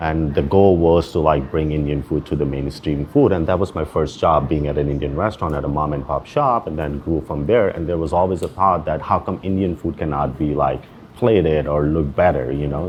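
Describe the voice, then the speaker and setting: Amid noticeable background noise, a man with a very deep, low pitch and ordinary pitch variation talks at a fairly quick pace with hardly any pauses. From Pakistan, Karachi. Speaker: chef and restaurant owner. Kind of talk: interview. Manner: casual, filler-heavy.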